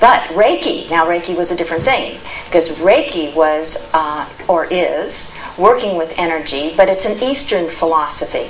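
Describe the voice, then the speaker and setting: A woman with an American accent and a fairly low pitch speaks at a moderate pace amid noticeable background noise and audible room echo. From California. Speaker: spirit release therapist. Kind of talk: talk to an audience. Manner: unscripted, with fillers.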